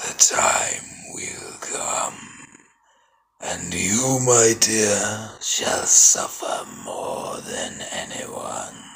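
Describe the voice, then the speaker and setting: Raspy and very slow, a man performs a put-on character voice. His pitch sits in the medium range. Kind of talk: film character voice impression. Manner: cold, solemn, detached.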